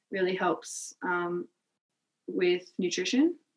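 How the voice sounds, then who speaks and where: A woman's medium-pitched voice in an Australian accent. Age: 20s. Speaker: primary school teacher. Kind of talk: casual interview chat.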